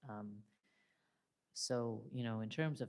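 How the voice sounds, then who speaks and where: A moderate pace and fairly even intonation. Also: woman. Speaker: detransitioner panelist. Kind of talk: panel discussion.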